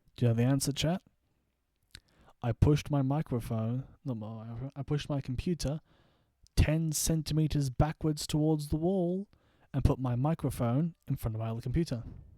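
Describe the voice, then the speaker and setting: A man with an Australian accent speaks at a moderate pace and medium pitch, his tone dark and mellow with ordinary pitch variation, in a very clean recording with a silent background. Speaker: gaming streamer. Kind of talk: casual live stream chat. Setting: home streaming setup at night.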